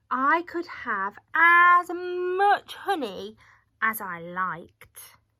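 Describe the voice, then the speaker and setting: A woman performs a put-on character voice at an extremely high pitch, raised and projected, moving at a very slow pace in a very clean recording with a silent background. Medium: read story. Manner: hesitant, hums and ums.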